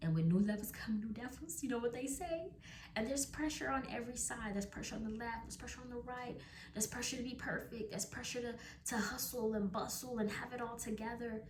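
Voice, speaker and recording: A fairly high-pitched woman at a very fast pace, with ordinary pitch variation and audible room echo. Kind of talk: devotional talk to camera.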